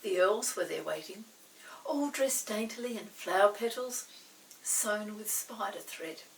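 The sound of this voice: A woman speaks at a medium pitch with lively intonation and a fairly slow pace. Some room echo can be heard.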